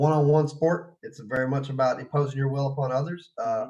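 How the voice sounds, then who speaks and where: A man talks with a Texas accent in a fairly high pitch. His intonation stays fairly even against light background noise. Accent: Texas drawl. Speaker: martial arts fighter and teacher; teacher. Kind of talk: casual interview. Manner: halting, many fillers. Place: home room. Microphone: video call.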